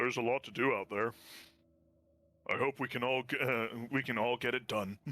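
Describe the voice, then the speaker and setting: A man's put-on character voice, raspy and medium-pitched, at a fairly quick pace with long, frequent pauses. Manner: deeper voice than the character's usual one.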